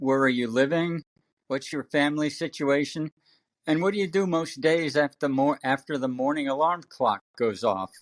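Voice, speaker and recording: On a very clean recording with a silent background and a dry, close sound without echo, a man with an ordinary speaking voice talks at a moderate pace in a fairly high pitch with ordinary pitch variation. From Connecticut, US. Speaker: podcast host, former marathon champion. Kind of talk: podcast interview.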